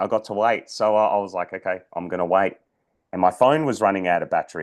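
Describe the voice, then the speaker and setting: A man's fairly low voice is heard over a quiet background. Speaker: personal development coach and podcaster. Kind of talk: storytelling monologue. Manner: halting, many fillers and repeats.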